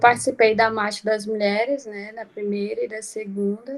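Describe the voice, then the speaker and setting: A woman speaks in a fairly high voice. Her intonation stays fairly even. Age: 20s. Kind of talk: personal talk in panel.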